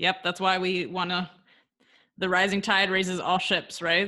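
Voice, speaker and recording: A bright, sharp tone at a moderate pace against a quiet background. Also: woman. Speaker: podcast host and coach. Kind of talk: casual interview chat. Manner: upbeat, energetic.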